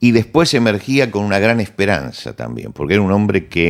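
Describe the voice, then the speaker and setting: Speaking at a fairly quick pace in a Rioplatense accent, a man uses a very deep, low pitch with vocal fry. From Argentina. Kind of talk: conversational interview, cultural commentary.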